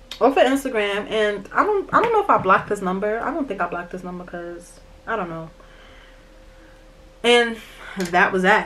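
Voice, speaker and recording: Speaking with a New York accent at a moderate pace, the voice shows ordinary pitch variation and long, frequent pauses over noticeable background noise. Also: woman, medium pitch for a woman. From New York, Brooklyn. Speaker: YouTuber. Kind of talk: storytime vlog while doing makeup. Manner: aggressive-sounding; animated.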